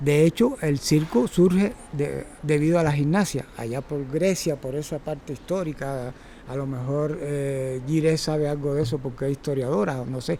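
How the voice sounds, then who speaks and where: His pitch is fairly high with ordinary variation. The man keeps a moderate pace with hardly any pauses. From Cuba. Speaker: circus teacher and former gymnast. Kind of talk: talk to a workshop audience. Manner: halting, with repetitions and fillers.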